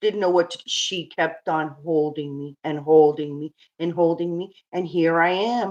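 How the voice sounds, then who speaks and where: A woman with a fairly low pitch speaks at a fairly slow pace with fairly even intonation. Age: 60s. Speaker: domestic abuse survivor. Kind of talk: testimony. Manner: halting.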